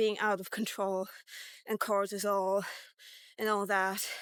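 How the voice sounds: A woman speaks slowly at a medium pitch, with little pitch movement and a clear, smooth, fairly bright tone.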